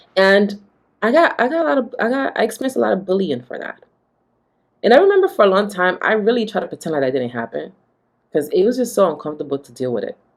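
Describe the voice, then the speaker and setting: A woman at medium pitch talks very fast in an animated tone, with vocal fry. Her pitch swings very widely and her loudness shifts greatly. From Honduras, moved to US at about nine. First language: Garifuna and Spanish. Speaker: life coach. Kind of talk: motivational talk to camera. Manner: casual, animated.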